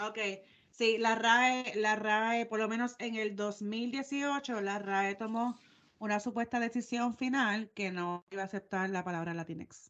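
Using an ordinary speaking voice, a woman with a fairly high pitch talks at a fairly slow pace with fairly even intonation. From Puerto Rico. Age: 30s. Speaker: podcast co-host. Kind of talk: casual chat.

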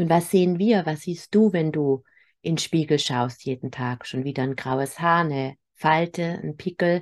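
The speaker goes at a fairly slow pace with ordinary pitch variation against a quiet background. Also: woman, very deep, low pitch for a woman. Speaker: spiritual medium and healer. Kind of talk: spiritual weekly message. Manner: spontaneous, unscripted.

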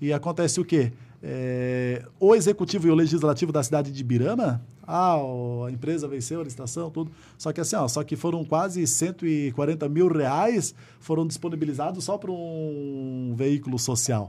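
A man with a dark, mellow tone talks at a moderate pace, fairly high in pitch with ordinary pitch variation. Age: 30s. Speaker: city councillor and volunteer firefighter. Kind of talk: interview conversation.

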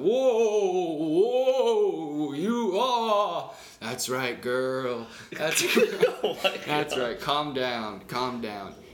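Over clear background noise, a man puts on a character voice at a fairly high pitch, talking at a very slow pace with very wide pitch swings. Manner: soothing, coaxing.

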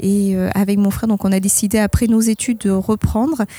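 A woman speaks at medium pitch and a moderate pace. Her tone is dark and mellow, her intonation monotone and flat. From Bordeaux region, France. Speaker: winemaker. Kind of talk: testimony.

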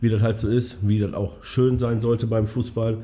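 Somewhat breathy and dark, mellow in tone, a man with a fairly low pitch speaks in a monotone, flat intonation. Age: 30s. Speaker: amateur football club chairman. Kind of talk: casual interview.

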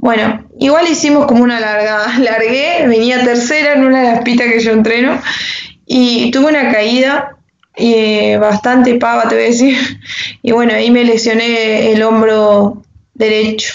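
A woman's fairly high-pitched, ordinary speaking voice at a fairly slow pace, with fairly even intonation and very even loudness. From Argentina, Entre Ríos. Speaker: motocross and enduro rider. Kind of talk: interview.

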